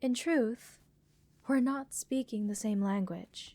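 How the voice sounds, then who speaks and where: A woman's robotic, put-on character voice, fairly high in pitch, calm in tone and fairly slow in pace. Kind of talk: soothing ASMR roleplay. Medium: audio drama. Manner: slightly robotic, lilting, calm and clinical.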